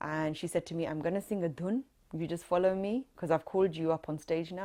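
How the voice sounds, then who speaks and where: Fairly low-pitched woman's voice, dark and mellow in tone, fairly quick pace, very clean recording and silent background. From London, UK (British Gujarati). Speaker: Gujarati folk singer. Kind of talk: oral history interview answer. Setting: recorded interview.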